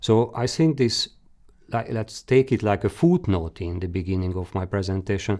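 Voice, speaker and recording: A man's fairly low, dark, mellow voice with a Hungarian accent and ordinary pitch variation. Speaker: career guidance expert presenter. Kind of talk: webinar presentation. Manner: halting.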